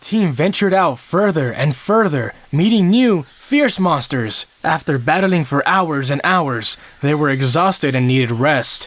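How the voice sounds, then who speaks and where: In a put-on character voice, a man speaks at a fairly high pitch and a moderate pace. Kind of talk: fairy-tale narration. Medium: audio drama.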